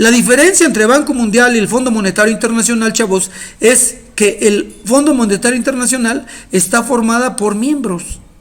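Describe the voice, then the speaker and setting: An animated man speaks at an extremely high pitch with ordinary pitch variation. There is audible room echo. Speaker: teacher. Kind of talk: lecture. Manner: fast.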